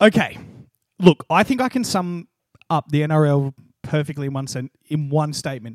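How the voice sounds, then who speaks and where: A man with an Australian accent and a fairly high pitch, long, frequent pauses, and a dry, close sound with no echo. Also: lively intonation, moderate pace. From Australia, New South Wales. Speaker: podcast co-host. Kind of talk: casual chat.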